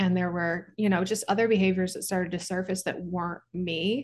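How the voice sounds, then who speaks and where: A woman with an American accent and a fairly low pitch, against a quiet background. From US Midwest, Kansas and Branson, Missouri. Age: 30s. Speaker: company founder and CEO. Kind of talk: casual chat.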